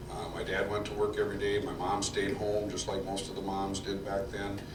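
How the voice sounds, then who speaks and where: A man's fairly low, monotone voice with flat intonation at a fairly quick pace, amid noticeable background noise and audible room echo. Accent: Upper Midwest. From Minnesota, Minneapolis suburbs. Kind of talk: testimony. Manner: halting, many fillers and repetitions.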